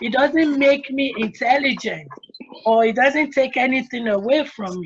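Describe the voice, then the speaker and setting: Someone with an African accent talks at a moderate pace with ordinary pitch variation and big swings in loudness. Noticeable background noise is present. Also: woman, high pitch for a woman. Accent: African accent, retained. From Nigeria. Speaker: attorney, panelist. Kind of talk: panel discussion.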